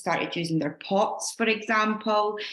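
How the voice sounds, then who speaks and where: A woman speaks with a Scottish accent. Her pitch varies an ordinary amount. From Scotland. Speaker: fitness coach leading a team call. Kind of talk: team training call. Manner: fast.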